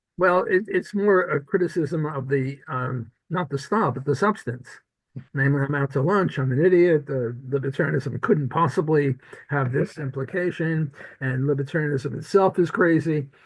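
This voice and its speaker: A man with an American accent speaks at a fairly high pitch and a moderate pace. His voice is somewhat breathy, with ordinary pitch variation. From US Northeast (Brooklyn, New York). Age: 80s+. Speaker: economics professor. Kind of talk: interview conversation.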